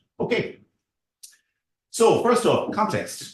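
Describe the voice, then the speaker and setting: A man with an Irish accent speaks at a fairly slow pace, with audible room echo around him. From Ireland. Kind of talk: seminar presentation. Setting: university seminar room with audience.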